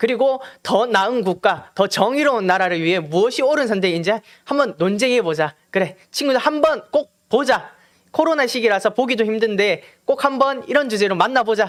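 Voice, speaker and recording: Lively intonation in a strong Gyeongsang accent, at a moderate pace with very even loudness. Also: man, high pitch for a man. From Gyeongju, North Gyeongsang, South Korea. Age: 18. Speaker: youth political campaigner. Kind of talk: political appeal to peers.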